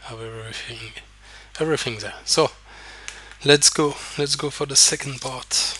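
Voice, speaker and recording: Speech with a non-native accent at a moderate pace, with long, frequent pauses, big swings in loudness and fairly even intonation, over noticeable background noise. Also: man. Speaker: poker coach. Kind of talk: tutorial. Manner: hesitant, many fillers.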